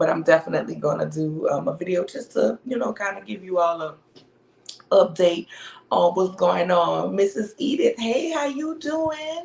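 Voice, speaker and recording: Noticeable background noise behind a woman's voice at a moderate pace. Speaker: podcast co-host. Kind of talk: casual chat.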